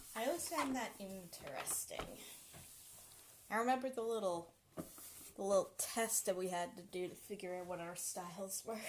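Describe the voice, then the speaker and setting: A woman mumbles at a moderate pace, her medium pitch showing ordinary variation, with long, frequent pauses. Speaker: live streamer. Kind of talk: casual chat. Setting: home kitchen. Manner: mumbling.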